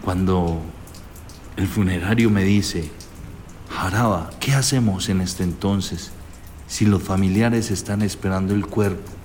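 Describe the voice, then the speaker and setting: Audible room echo surrounds a man speaking at a fairly slow pace, with a fairly low pitch, fairly even intonation, and long, frequent pauses. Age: 40s. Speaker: gravedigger. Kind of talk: storytelling.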